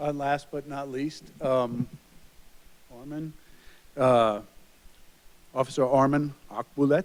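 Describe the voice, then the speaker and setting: A man with an American accent, fairly high in pitch, monotone and flat, at a very slow pace with long, frequent pauses. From Long Island, New York. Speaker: police chief. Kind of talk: public introduction at council meeting. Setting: city council meeting.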